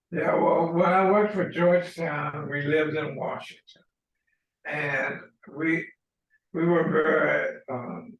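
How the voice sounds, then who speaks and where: With long, frequent pauses, a man talks at a very slow pace and a high pitch. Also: fairly even intonation. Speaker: fraternity elder being interviewed for an oral history. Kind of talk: interview answer, recounting his life story. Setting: video call recorded over a meeting platform.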